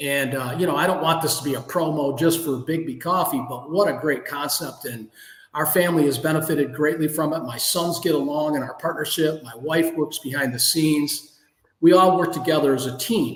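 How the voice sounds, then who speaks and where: Here is a man with an American accent and a normal speaking voice, fairly high in pitch. He speaks at a fairly quick pace with fairly even intonation. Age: 60s. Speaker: entrepreneur. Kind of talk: interview.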